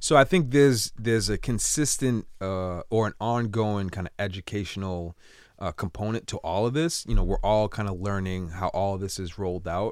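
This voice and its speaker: A man with an American accent talks in a normal speaking voice, fairly low-pitched with ordinary pitch variation, at a moderate pace with hardly any pauses, on a very clean recording with a silent background. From Cambridge, Massachusetts. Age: 30s. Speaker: entrepreneur. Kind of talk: casual interview.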